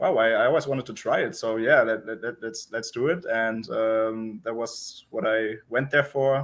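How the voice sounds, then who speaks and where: This man has a German accent. He speaks at a moderate pace. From Germany, Berlin. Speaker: professional poker player. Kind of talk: interview.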